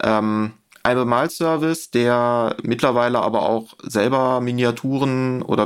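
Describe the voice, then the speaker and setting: An unremarkable speaking voice from a man, medium in pitch with fairly even intonation. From Germany, rural. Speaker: miniature painting expert. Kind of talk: casual chat.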